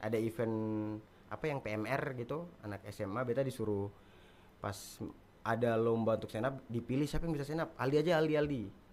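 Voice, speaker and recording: A man's medium-pitched voice, with ordinary pitch variation, moves at a very fast pace. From Buton, Southeast Sulawesi (schooled in Makassar). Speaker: stand-up comedian. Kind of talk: podcast interview.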